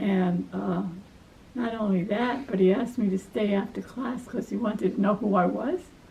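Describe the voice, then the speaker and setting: Over noticeable background noise, a woman with an American accent talks at a moderate pace and medium pitch, with ordinary pitch variation. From New York, Brooklyn. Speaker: life story interviewee, retired academic. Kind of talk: family life story interview.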